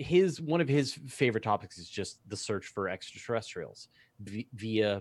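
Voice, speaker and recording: Fairly low male pitch with lively intonation at a moderate pace, on a very clean recording with a silent background. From Canada. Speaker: astronomy publisher and science YouTuber. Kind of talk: casual chat on a livestream. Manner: halting, many repeated words.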